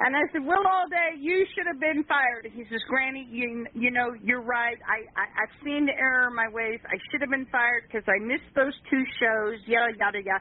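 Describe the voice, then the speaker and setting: Amid noticeable background noise, a woman with an American accent speaks at a fairly quick pace with hardly any pauses, using a high pitch and ordinary pitch variation. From Kansas. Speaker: caller. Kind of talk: call-in chat.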